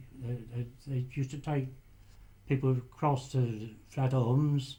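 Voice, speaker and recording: Very slowly, a man speaks at a medium pitch. His voice is somewhat breathy, with fairly even intonation. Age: 80s+. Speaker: retired lighthouse keeper, war veteran. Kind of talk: interview answer. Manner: hesitant.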